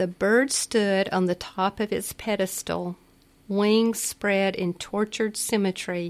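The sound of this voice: The speaker uses an unforced reading voice. The intonation stays fairly even.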